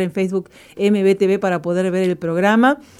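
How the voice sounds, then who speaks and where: A woman speaks at a medium pitch with fairly even intonation. It is a normal speaking voice. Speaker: radio co-host. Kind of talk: reading a testimony aloud; radio show chat.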